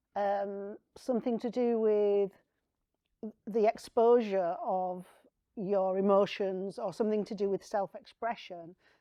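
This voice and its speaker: Speaking in a northern English accent, the voice moves at a fairly slow pace with ordinary pitch variation. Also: woman, medium pitch for a woman. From northern England. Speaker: artist and writer. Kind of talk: panel conversation. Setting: studio with live audience.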